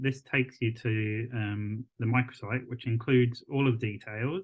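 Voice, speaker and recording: Against a quiet background, a man speaks with fairly even intonation. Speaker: visual artist and arts consultant; presenter. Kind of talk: pre-recorded video presentation. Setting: pre-recorded video. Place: home room. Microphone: video call.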